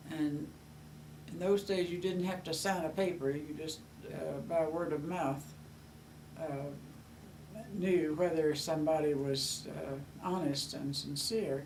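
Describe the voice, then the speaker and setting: A woman's very deep, low voice in a Southern US accent, at a fairly slow pace with long, frequent pauses and fairly even intonation, amid audible room echo and noticeable background noise. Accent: Southern US (Georgia). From US South, Georgia. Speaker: grandmother. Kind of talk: oral history interview. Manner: halting, many fillers.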